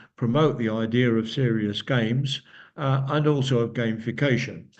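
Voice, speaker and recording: Audible room echo surrounds a man speaking at a fairly slow pace in a medium pitch. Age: 70s. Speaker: company founder and speaker. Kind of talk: lecture. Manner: halting.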